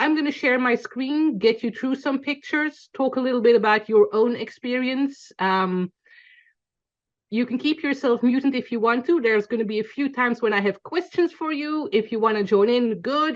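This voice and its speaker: A woman with a high pitch and lively intonation, in a Belgian accent at a moderate pace. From Belgium, Antwerp. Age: 40s. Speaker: photographer teaching a class. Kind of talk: online class lecture.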